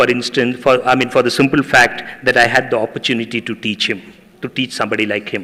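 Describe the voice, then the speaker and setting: The man's delivery moves at a fairly quick pace. Intonation stays monotone and flat. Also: medium pitch for a man. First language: Tamil. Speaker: professor. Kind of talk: public speech.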